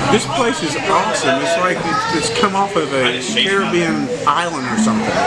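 Loud music plays behind a man talking at a moderate pace. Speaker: vlog host. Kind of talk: casual vlog chat. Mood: relaxed and upbeat. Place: cafe. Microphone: phone near.

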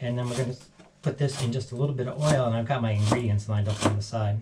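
A man speaks very fast while noticeable background noise plays behind him. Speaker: home cook host. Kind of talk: casual cooking tutorial. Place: kitchen. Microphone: camera far.

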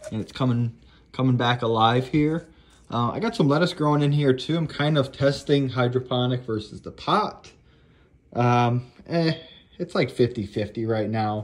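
A man's speech has ordinary pitch variation and a moderate pace. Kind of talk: casual vlog chat. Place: home room. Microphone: phone near.

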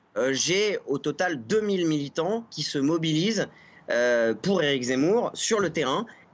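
His pitch is fairly high for a man. He speaks at a very slow pace. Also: lively intonation. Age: 30s. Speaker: political campaign activist. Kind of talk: TV interview. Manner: hesitant, many filler sounds. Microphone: video call.

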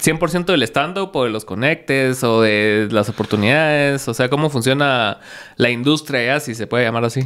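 The speech has a moderate pace and ordinary pitch variation, set against a quiet background. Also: man. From Guatemala. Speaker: podcast host. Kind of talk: casual chat; interview answer. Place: studio. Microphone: studio mic.

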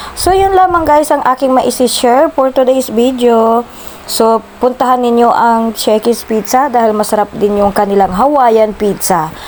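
A woman's high-pitched voice with lively intonation, very even loudness and a fairly slow pace, against noticeable background noise. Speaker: vlogger. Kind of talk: vlog narration. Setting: restaurant.

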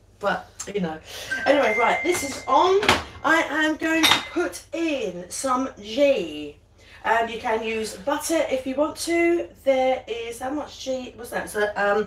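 With music in the background and audible room echo, a woman speaks at a very slow pace in a high pitch. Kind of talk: casual live cooking chat. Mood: cheerful, laughing. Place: kitchen.

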